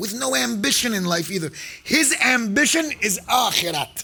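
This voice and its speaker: Over noticeable background noise, a man talks in a raised, projected voice with lively intonation and an animated tone. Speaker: sheikh / preacher. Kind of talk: sermon. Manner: loud.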